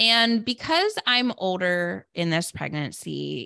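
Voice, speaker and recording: A woman's bright, sharp tone with lively intonation, a very slow pace, and a very clean recording with a silent background. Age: 30s. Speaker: podcast host and therapist. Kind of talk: solo podcast monologue. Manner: casual, with filler words.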